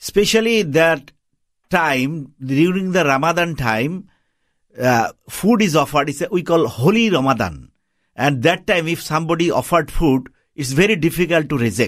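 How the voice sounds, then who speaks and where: A man with a Bangladeshi accent, fairly high pitch and lively intonation, on a very clean recording with a silent background. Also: moderate pace. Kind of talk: radio interview. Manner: halting, non-fluent English.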